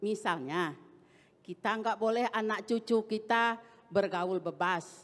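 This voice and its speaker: A woman's fairly high voice at a very slow pace, with ordinary pitch variation. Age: 70s. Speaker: audience member asking a question. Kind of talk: question from audience.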